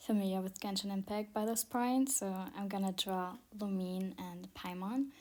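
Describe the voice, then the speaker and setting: A woman with a non-native accent, medium pitch, fairly even intonation and a moderate pace, in a very clean recording with a silent background. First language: not English. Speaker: self-taught digital artist. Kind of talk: art tutorial commentary. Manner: halting, stuttering with many fillers.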